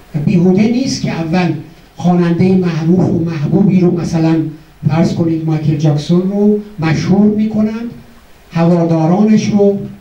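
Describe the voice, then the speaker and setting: With noticeable background noise and audible room echo, a man speaks in a high pitch, keeping fairly even intonation and very even loudness. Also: moderate pace. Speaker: psychologist giving a memorial speech. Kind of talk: memorial speech. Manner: formal.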